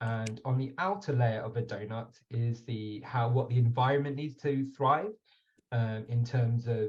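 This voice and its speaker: In a British accent, a man speaks at a fairly slow pace and medium pitch, somewhat breathy, with ordinary pitch variation. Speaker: webinar moderator. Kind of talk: online panel discussion. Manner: hesitant, with fillers.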